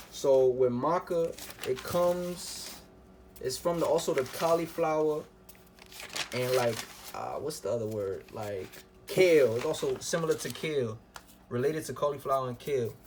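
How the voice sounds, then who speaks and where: Against noticeable background noise, a man with a fairly high pitch and ordinary pitch variation speaks with long, frequent pauses. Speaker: herbal health vlogger. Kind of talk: casual talk to camera. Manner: fast.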